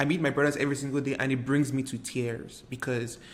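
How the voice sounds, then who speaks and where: A man with a Nigerian accent speaks at a medium pitch, his intonation fairly even. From Nigeria, Lagos. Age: 20s. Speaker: artist and video creator. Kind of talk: personal reflective monologue.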